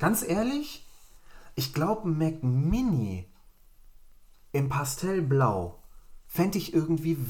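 Audible room echo around a man's very slowly paced speech. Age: 30s. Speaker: tech podcast host. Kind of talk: casual chat.

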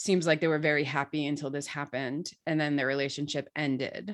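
Against a quiet background, a woman with a slight Brooklyn accent talks at a fairly quick pace. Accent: slight Brooklyn accent, kept in check. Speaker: podcast host. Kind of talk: casual chat about TV episode.

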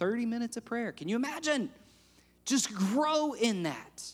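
A man speaks with a high pitch. The recording is very clean with a silent background. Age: 30s. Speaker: pastor. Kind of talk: sermon. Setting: church with congregation.

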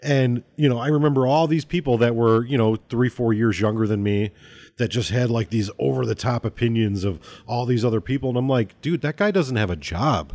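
A man with an unremarkable speaking voice talks at a fairly quick pace and medium pitch, with ordinary pitch variation, very even loudness and a dry, close sound with no echo. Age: 30s. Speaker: podcast host. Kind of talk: casual chat.

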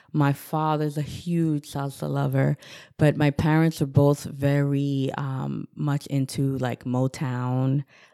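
Here is a dark, mellow tone in a New York accent, at a fairly slow pace with ordinary pitch variation. The recording is very clean with a silent background. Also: woman. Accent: New York American. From Newburgh, New York, US. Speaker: pharmacist and Zumba instructor. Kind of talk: interview.

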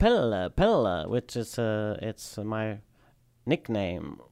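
This man speaks with a Swedish accent at a medium pitch. His pace is very slow. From southern Sweden. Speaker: high wheel bicycle racer. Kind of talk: casual chat. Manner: halting.

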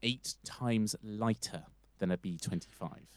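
This man has a plain, everyday voice at a fairly low pitch. He speaks at a moderate pace. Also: dry, close sound with no echo. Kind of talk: casual chat with storytelling.

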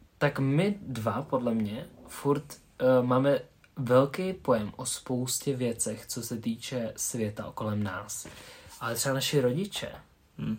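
Breathing somewhat audibly, a man speaks at a very slow pace in a medium-pitched voice with ordinary pitch variation. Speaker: podcast co-host. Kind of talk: casual chat.

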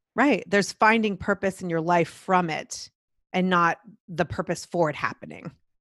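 A woman talks with an ordinary speaking voice at a moderate pace. Her pitch variation is ordinary, with a dry, close sound and no echo. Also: medium pitch for a woman. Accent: American. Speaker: broadcast professional and podcast host. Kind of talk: casual interview chat. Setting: video call.

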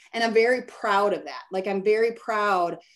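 A plain, everyday voice at a moderate pace. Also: woman. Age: 50s. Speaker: branding and marketing consultant. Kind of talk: casual interview. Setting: call.

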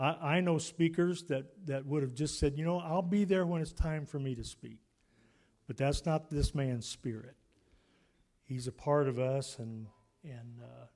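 Here is a man with a fairly high pitch. His tone is dark and mellow. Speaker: church event emcee. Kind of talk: church conference announcements. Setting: church.

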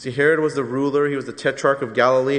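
In an American accent, a man talks with a fairly high pitch and flat, monotone intonation. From Southern California. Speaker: pastor. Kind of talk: sermon.

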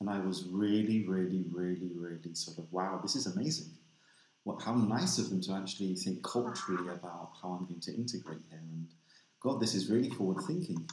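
Speaking at a fairly quick pace, a man with a London accent has a very deep, low voice and ordinary pitch variation. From London, England. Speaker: inclusion consultant. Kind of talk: casual chat.

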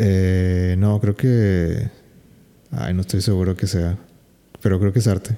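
The speaker talks in a Mexican accent at a very slow pace, leaving long, frequent pauses. The tone is dark and mellow. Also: man, very deep, low pitch for a man, ordinary pitch variation, very even loudness. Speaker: podcast host. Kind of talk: casual chat.

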